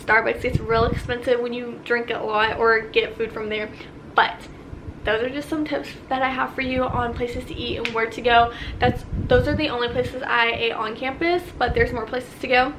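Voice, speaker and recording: The speaker has an American accent, with audible room echo and noticeable background noise. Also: woman, high pitch for a woman. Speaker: vlogger, college student. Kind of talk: casual Q&A vlog. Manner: fast; animated.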